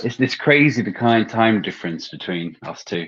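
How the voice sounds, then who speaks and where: A man speaks with an English accent. His pace is fairly slow. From London, England. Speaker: movie podcast co-host. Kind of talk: casual chat. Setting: live stream on a phone.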